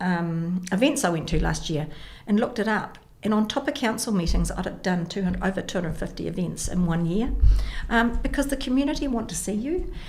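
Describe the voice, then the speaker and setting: A woman's medium-pitched voice in a New Zealand accent, at a moderate pace with ordinary pitch variation and audible room echo. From New Zealand, Porirua. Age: 60s. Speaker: mayor and election candidate. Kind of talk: radio interview.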